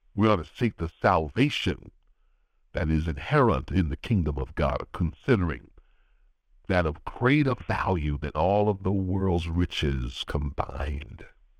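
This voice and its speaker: A man speaks slowly-ish, at a fairly slow pace, in a very deep, low pitch with a warm tone. His intonation is lively and his voice shows vocal fry. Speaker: pastor. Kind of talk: sermon and prayer; fervent intercessory prayer. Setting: phone prayer call line. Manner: earnest, rhythmic, pleading prayer cadence with repeated phrases; warm, encouraging, pastoral.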